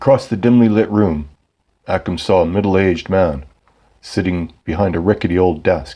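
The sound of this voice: Ordinary pitch variation, an unforced reading voice, and a quiet background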